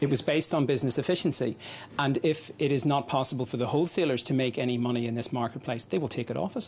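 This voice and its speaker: A man at a medium pitch talking at a very fast pace with ordinary pitch variation. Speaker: pharmacist. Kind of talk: interview.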